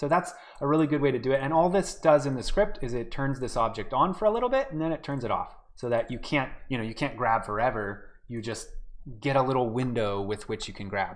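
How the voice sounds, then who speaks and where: A man speaks at a fairly quick pace in a plain, everyday voice. His medium-pitched delivery has lively intonation. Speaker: game development workshop instructor. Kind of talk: live-streamed tutorial. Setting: live online stream. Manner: casual, many filler words.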